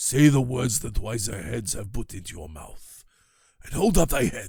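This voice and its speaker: Doing a put-on character voice, a man speaks raspily at a medium pitch and moderate pace. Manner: low, hushed voice.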